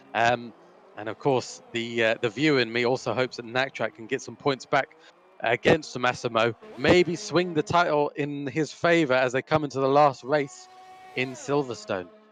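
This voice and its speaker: A man's medium-pitched voice with ordinary pitch variation, a moderate pace, and noticeable background noise. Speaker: sim racing commentator. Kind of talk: live commentary. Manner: loud. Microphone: crackling mic.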